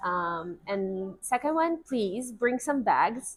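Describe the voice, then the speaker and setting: Music plays in the background. The speech moves at a very slow pace with very wide pitch swings. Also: woman. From Russia. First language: Russian. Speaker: guest, newcomer to the city. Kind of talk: casual chat. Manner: hesitant, many fillers and restarts.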